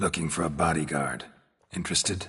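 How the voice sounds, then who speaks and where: Putting on a character voice, a man speaks at a fairly quick pace and a very deep, low pitch. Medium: video game. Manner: terse, deadpan.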